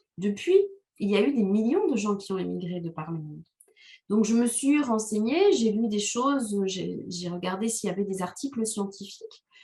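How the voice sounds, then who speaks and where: At a moderate pace, a woman speaks in a dark, mellow, somewhat breathy voice of medium pitch with ordinary pitch variation. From Rwanda. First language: Kinyarwanda (speaking French). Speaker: novelist. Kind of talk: interview. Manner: hesitant, many fillers.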